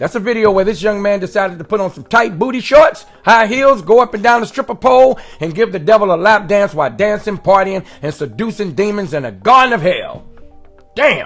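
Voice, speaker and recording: Over music in the background, a man with a high pitch talks at a fairly quick pace with lively intonation. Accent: American. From Richmond, California. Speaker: podcast host. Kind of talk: casual chat; scripted monologue. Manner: fast.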